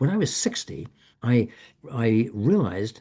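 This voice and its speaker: A somewhat breathy man's voice with a dark, mellow tone and very wide pitch swings, against a quiet background. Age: 70s. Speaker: author and end-of-life educator. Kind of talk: online info session presentation. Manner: halting, many repetitions and false starts.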